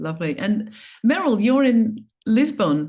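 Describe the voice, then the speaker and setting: A woman with an Australian accent and very wide pitch swings, against a quiet background. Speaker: somatic coaching trainer and panel moderator. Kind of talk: online panel moderation.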